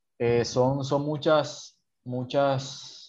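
A man talks at medium pitch, his intonation fairly even, with a quiet background behind him. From Colombian Caribbean coast (Sincelejo). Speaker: Colombian citizen commentator. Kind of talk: conversational interview. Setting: call.

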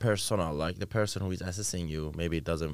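A man talks at a very fast pace with a very deep, low pitch and vocal fry. His intonation stays fairly even. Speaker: podcast co-host. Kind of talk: casual chat.

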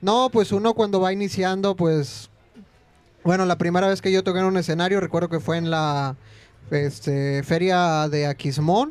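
With ordinary pitch variation, this male voice sits high in pitch. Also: moderate pace. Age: 20s. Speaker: music student and folk musician. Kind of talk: casual chat. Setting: restaurant, live stream.

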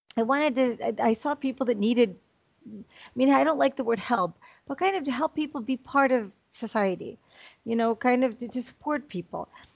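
A woman's high voice with a Chicago accent, lively intonation, a fairly quick pace, and a dry, close sound with no echo. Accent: American, Chicago. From US Midwest, Chicago. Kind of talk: interview.

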